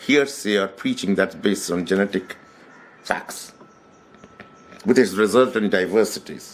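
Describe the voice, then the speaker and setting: With a Bengali accent, a man speaks at a moderate pace and a fairly low pitch, using ordinary pitch variation. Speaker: author. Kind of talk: book talk. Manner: hesitant, with fillers.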